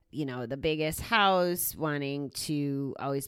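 A loud woman with a very deep, low pitch at a fairly slow pace. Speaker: gambling recovery podcast host. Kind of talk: solo monologue podcast.

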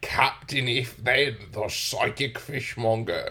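In a put-on character voice, a man speaks fairly slowly at a medium pitch, his intonation monotone and flat. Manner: theatrical, announcing.

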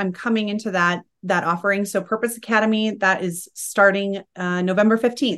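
A woman with an American accent, medium pitch and a bright, sharp tone, fairly quick with fairly even intonation, against a quiet background. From Utah, US. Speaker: business mentor and breathwork practitioner. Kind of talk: casual chat.

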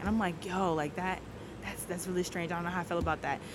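Noticeable background noise can be heard behind a woman talking. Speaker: newlywed guest sharing her faith story. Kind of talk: testimony. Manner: loud; animated.

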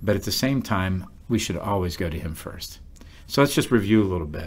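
The man's pitch is fairly low, and he talks at a moderate pace. There is a somewhat breathy quality to his voice. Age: 50s. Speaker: pastor. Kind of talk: Bible study discussion.

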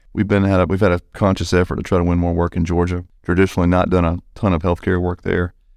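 A man with an Alabama accent speaks at a very fast pace in a very deep, low voice with monotone, flat intonation. The recording is very clean, with a silent background. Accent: Alabama Southern US. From US South, small-town southern Alabama. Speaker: construction business development director. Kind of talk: casual interview.

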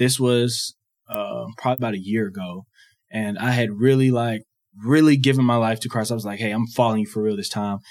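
In a very clean recording with a silent background, a plain, everyday voice moves at a fairly quick pace with fairly even intonation. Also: man, medium pitch for a man. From US South, Georgia. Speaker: former college athlete, campus ministry worker. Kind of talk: personal testimony.

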